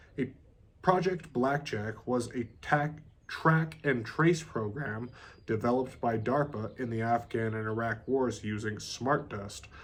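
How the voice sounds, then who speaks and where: An ordinary speaking voice from a man at medium pitch, with ordinary pitch variation and a fairly slow pace. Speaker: audiobook reader. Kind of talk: reading aloud.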